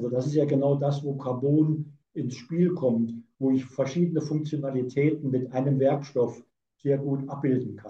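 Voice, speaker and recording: Somewhat breathy and dark, mellow in tone, a man speaks at a moderate pace with a fairly high pitch and fairly even intonation. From Saarland, Germany. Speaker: physicist and company director. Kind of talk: interview.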